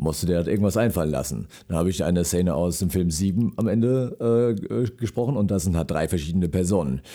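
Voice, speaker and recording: With a very deep, low pitch and a dark, mellow tone, a man talks at a fairly quick pace with lively intonation and very even loudness. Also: very clean recording, silent background. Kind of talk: casual radio interview. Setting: radio studio. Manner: hesitant, filler words.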